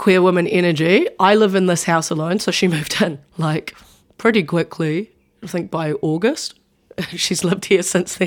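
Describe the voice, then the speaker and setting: Speaking with a New Zealand accent, a woman has a fairly low pitch and fairly even intonation at a moderate pace. The recording is very clean, with a silent background. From New Zealand, Wellington. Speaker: sports writer and rugby player. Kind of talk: interview.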